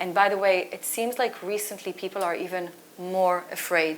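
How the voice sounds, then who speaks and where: A woman with a non-native accent speaks at a moderate pace. Her pitch is medium and her intonation fairly even. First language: not English. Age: 40s. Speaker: author and culture consultant. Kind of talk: panel discussion. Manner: halting.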